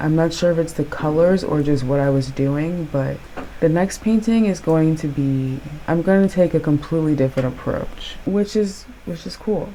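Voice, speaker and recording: A woman's very deep, low voice at a moderate pace, with ordinary pitch variation and noticeable background noise. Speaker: painting youtuber. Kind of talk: casual vlog commentary. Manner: casual, chatty.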